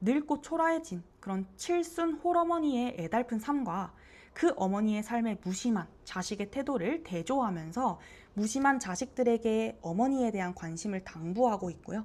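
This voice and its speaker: Very wide pitch swings mark this speech, delivered at a moderate pace. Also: woman. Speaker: teacher. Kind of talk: lecture. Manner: slurring as the single take goes on.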